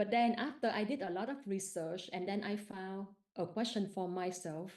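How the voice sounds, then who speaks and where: A woman with a Vietnamese accent at a fairly slow pace, with ordinary pitch variation. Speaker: participant asking a question at a live meditation session. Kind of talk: question from audience in live Q&A. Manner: halting.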